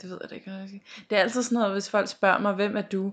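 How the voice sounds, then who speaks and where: At a fairly quick pace, a woman speaks with a medium pitch and a monotone, flat intonation. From Denmark, North Zealand. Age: 20s. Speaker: podcast co-host. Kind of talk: casual chat.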